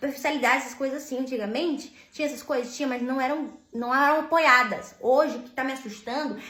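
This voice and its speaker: There is audible room echo and noticeable background noise as a woman talks in a high voice. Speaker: vlogger. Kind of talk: casual monologue vent.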